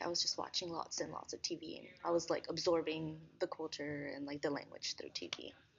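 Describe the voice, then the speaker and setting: Here a woman talks at a fairly quick pace. Her voice is fairly low with ordinary pitch variation. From US, born in the state. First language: Spanish. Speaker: education student. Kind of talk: interview. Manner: hesitant, many fillers.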